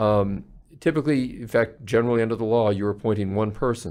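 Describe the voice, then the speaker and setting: At a fairly quick pace, a man of medium pitch talks in an ordinary speaking voice. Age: 60s. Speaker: palliative care physician. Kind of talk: interview.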